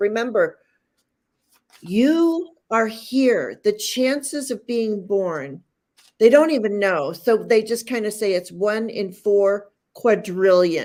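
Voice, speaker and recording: Very slowly and with lively intonation, a woman speaks at a fairly high pitch. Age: 60s. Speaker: tarot reader. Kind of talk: casual chat.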